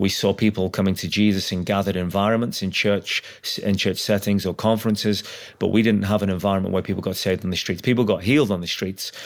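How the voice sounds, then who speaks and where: In a Liverpool accent, the voice moves at a very fast pace with monotone, flat intonation and hardly any pauses, on a very clean recording with a silent background. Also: man, fairly low pitch for a man. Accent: Liverpool (Scouse). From Liverpool, England. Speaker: evangelist. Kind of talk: testimony.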